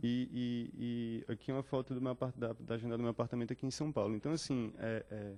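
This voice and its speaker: A man talks at a very fast pace with hardly any pauses, his medium-pitched voice dark and mellow in tone and monotone, flat in intonation. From Northeast Brazil, Fortaleza. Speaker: visual artist. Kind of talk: artist talk. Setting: talk with live audience. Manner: halting, many fillers.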